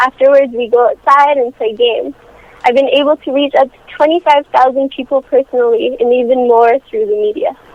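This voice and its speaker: Against noticeable background noise, a woman with a high voice speaks at a fairly quick pace with ordinary pitch variation. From French Canada. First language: French. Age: 18. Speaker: youth charity founder. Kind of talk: phone interview. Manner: rehearsed, formal.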